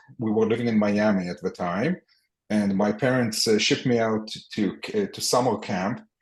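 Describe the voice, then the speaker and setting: A man speaks with an Israeli accent. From Israel and the US (split upbringing). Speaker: entrepreneur. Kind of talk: podcast interview. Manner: halting, many fillers and repetitions.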